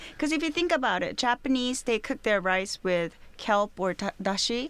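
A woman with a Korean accent speaks at a moderate pace on a very clean recording with a silent background. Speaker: restaurateur. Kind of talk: interview. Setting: studio. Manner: halting.

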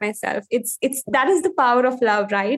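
With an Indian accent, a woman talks at a moderate pace in a fairly high voice. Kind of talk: coaching conversation.

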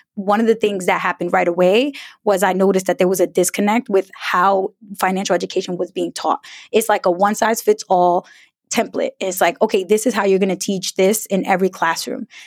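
A normal speaking voice in an American accent, fairly quick and fairly even in intonation, with a dry, close sound and no echo. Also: woman, medium pitch for a woman. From US Northeast, Brooklyn New York. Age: 30s. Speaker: personal finance educator. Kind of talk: interview.

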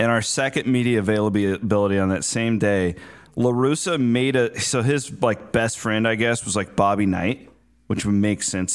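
Over a silent background in a very clean recording, a man of fairly low pitch talks at a moderate pace with ordinary pitch variation. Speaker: sports radio host. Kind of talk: casual chat. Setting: studio.

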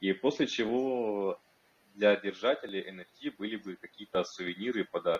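A man is speaking. His pitch is fairly low. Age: 20s. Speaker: crypto project team lead, marketer. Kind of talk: online community workshop interview.

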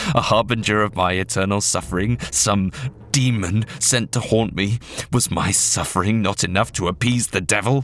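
An unforced reading voice carries the text.

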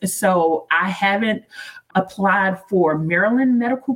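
Here is a woman with a plain, everyday voice, medium in pitch and with ordinary pitch variation. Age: 40s. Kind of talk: interview.

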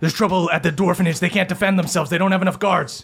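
The speaker uses a put-on character voice. The delivery is very fast. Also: man, high pitch for a man. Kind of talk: gruff fantasy character. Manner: urgent, alarmed.

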